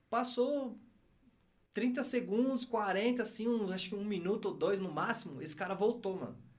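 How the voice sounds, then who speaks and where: With audible room echo, a man talks at a moderate pace in a high voice. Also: ordinary pitch variation. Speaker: former footballer and business executive. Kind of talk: casual interview chat.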